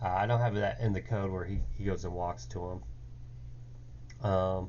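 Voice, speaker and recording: Audible room echo surrounds a voice delivered at a moderate pace with lively intonation. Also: man, very deep, low pitch for a man. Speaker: game developer. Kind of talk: coding tutorial. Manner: hesitant, many fillers.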